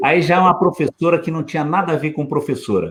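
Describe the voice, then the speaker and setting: A man speaks in a fairly high voice. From Osasco, São Paulo, Brazil. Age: 60s. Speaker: lawyer and former politician. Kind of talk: casual chat.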